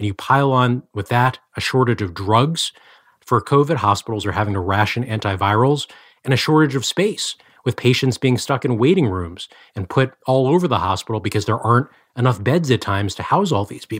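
A man with an ordinary speaking voice at medium pitch and a fairly quick pace, in a very clean recording with a silent background. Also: lively intonation. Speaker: health policy reporter. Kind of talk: interview about news.

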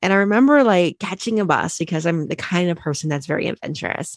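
Speaking fairly quickly in a fairly low pitch, a woman uses a normal speaking voice, the sound dry and close with no echo. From Ohio, Cincinnati. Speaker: accountant and author. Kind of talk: interview.

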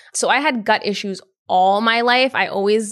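A woman with a New York accent, a fairly high pitch and fairly even intonation. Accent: New York area American. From Yonkers, New York. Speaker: herbalist and entrepreneur. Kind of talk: casual interview chat. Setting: in person, green space in New York City.

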